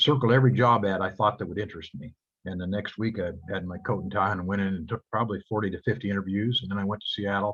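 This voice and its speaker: A very fast-talking man with an American accent, fairly low pitch and ordinary pitch variation. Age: 70s. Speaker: real estate broker. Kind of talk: guest talk to students on video call.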